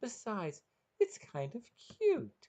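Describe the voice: A man performs a put-on character voice, high-pitched with a dark, mellow tone. He speaks at a slow pace with very wide pitch swings.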